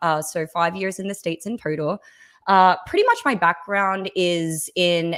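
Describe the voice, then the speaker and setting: A woman's fairly low voice in an Australian accent, at a moderate pace with fairly even intonation. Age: 20s. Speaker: podcast guest, content creator. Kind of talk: casual podcast interview. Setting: remote stream from home setup.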